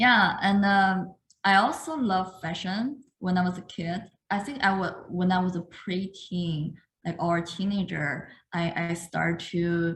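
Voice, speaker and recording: A woman speaks in a medium pitch. Her pace is fairly slow, with ordinary pitch variation. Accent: Chinese. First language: Chinese. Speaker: artist. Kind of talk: talk to an audience. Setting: video call. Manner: halting.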